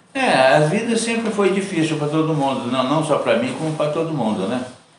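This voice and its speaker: A man speaks at a fairly high pitch with very wide pitch swings. There's light background noise and audible room echo. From Brazil, São Paulo state, raised in rural Minas Gerais. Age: 80s+. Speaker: retired truck driver. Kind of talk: interview. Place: home room.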